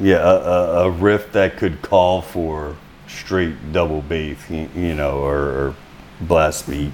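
Speech moves at a very slow pace with fairly even intonation. Noticeable background noise sits behind it. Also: man, very deep, low pitch for a man. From Louisiana, North Shore. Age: 40s. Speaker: metal band singer and guitarist, tattoo artist. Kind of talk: casual interview chat.

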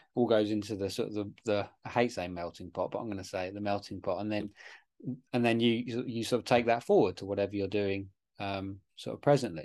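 Against a quiet background, a man talks in an ordinary speaking voice, fairly low in pitch with ordinary pitch variation. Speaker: podcast host. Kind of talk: casual interview chat.

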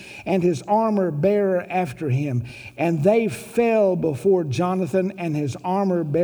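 The passage is read aloud plainly. Its pitch rises and falls in an ordinary way.

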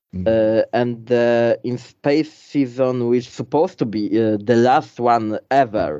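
A man's medium-pitched voice with a Polish accent, fairly slow, ordinary pitch variation, big swings in loudness and a quiet background. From Poland. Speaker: YouTuber. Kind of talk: interview.

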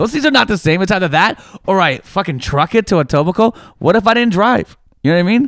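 A man with a Toronto accent talks at a very fast pace in a high pitch, his tone animated and intonation lively, with very even loudness and a dry, close sound with no echo on a very clean recording with a silent background. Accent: Toronto Canadian English. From Toronto, Canada. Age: 30s. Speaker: comedian. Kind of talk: casual chat. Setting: studio.

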